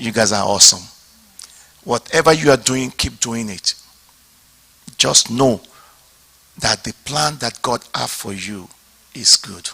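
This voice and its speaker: A man speaks in an animated tone at a fairly slow pace with long, frequent pauses and big jumps in loudness, the sound dry and close with no echo but with noticeable background noise. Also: medium pitch for a man, ordinary pitch variation. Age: 60s. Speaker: pastor. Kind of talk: seminar talk.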